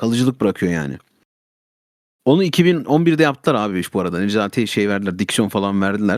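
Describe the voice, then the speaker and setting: A man talks at a fairly quick pace with a fairly low pitch and very wide pitch swings. The recording is very clean, with a silent background. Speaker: streamer. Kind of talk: casual chat.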